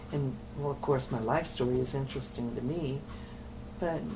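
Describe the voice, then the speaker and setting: There is audible room echo. A woman speaks in a very deep, low voice. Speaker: nun and addiction counselor. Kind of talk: oral history interview. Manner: halting.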